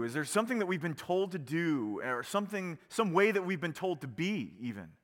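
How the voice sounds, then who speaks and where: A man's high-pitched, animated voice at a moderate pace, with lively intonation. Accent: American. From Virginia, small town. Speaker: pastor. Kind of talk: sermon. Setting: church.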